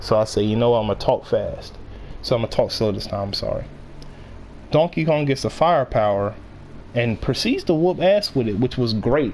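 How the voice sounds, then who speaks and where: Long, frequent pauses amid an otherwise fairly quick pace. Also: man. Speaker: YouTuber reviewing a movie. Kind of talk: casual monologue review. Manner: fast; halting, repeats words.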